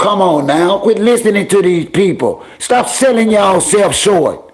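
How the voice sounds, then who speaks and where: Very even loudness and ordinary pitch variation at a fairly slow pace, over noticeable background noise. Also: man, high pitch for a man. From New York, the Bronx. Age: 50s. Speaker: livestream host. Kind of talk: casual chat. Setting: livestream. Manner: animated.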